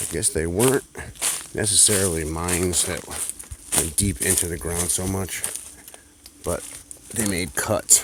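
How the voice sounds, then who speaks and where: Long, frequent pauses break up the fairly slow speech, with noticeable background noise. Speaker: urban explorer vlogger. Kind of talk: walking video tour narration. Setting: outdoors. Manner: soft-spoken.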